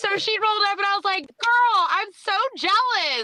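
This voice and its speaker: A woman speaks in an extremely high pitch, her voice raised and projected with an animated tone. Noticeable background noise is present. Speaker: motorcycle rider, podcast guest. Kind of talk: casual chat. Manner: loud.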